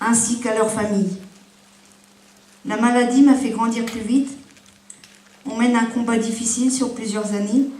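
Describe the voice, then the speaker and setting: A woman with a fairly high pitch speaks at a moderate pace in a monotone, flat intonation, leaving long, frequent pauses. Noticeable background noise and audible room echo fill the recording. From Ardennes, northeastern France. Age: 30s. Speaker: patient giving testimony. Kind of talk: testimony. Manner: halting.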